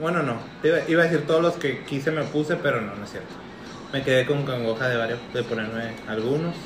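A man speaks at a fairly quick pace with a fairly high pitch and ordinary pitch variation. Noticeable background noise and audible room echo are present. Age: 20s. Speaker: podcast co-host. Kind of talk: casual chat.

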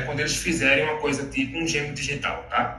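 Fairly quick speech from a man with a fairly high pitch and ordinary pitch variation, amid noticeable background noise and audible room echo. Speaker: technology specialist. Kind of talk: casual interview chat.

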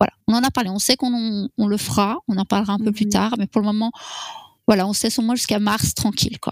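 A woman's very fast speech at a fairly high pitch, fairly even intonation, dry, close sound with no echo. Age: 40s. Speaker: interviewee sharing fertility story. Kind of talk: personal testimony. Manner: halting, many hesitations.

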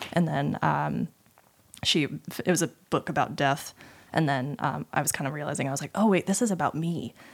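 Speaking at a moderate pace with an American accent, a woman has a very deep, low pitch with vocal fry and ordinary pitch variation. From Utah, US. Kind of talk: casual interview chat.

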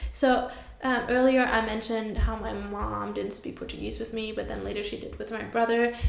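Over noticeable background noise, a woman speaks at a moderate pace with big swings in loudness. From Germany. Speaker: podcast co-host. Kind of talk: casual chat.

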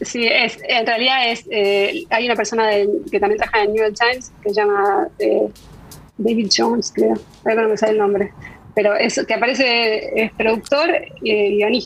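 In a plain, everyday voice, a woman speaks at a moderate pace and a fairly high pitch, with ordinary pitch variation and very even loudness. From Argentina. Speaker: food technologist. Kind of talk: interview. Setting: video call.

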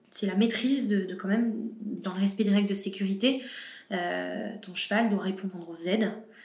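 Audible room echo surrounds a woman who speaks at a moderate pace with a medium pitch and fairly even intonation. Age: 20s. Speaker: horse rider. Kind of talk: interview. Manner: halting.

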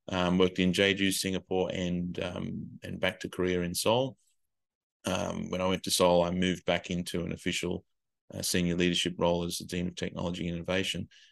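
A man's very deep, low voice with an Australian accent, monotone and flat, at a fairly quick pace over a quiet background. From Australia, Illawarra region of New South Wales. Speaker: educator and education consultant. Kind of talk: casual interview.

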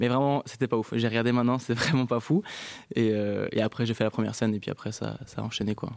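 A man speaks at medium pitch with fairly even intonation. His pace is very fast. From Belgium, Brussels. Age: 20s. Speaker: stand-up comedian. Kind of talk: casual interview.

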